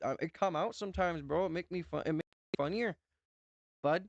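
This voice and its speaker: Someone with a North Dakota accent talks at a fairly quick pace against a quiet background. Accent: North Dakotan. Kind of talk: casual, jokey slang. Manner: comedic, joking.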